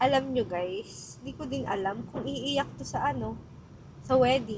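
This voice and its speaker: Her tone is animated. The woman talks at a fairly slow pace. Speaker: vlogger. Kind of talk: casual chat.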